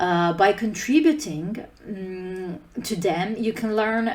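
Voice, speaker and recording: Audible room echo surrounds a woman whose voice sits at a fairly high pitch. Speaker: conference speaker, open source team lead. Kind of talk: conference talk.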